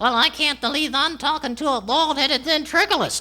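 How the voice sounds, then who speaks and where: At a fairly quick pace, a man performs a put-on character voice at an extremely high pitch. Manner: cheeky, sassy.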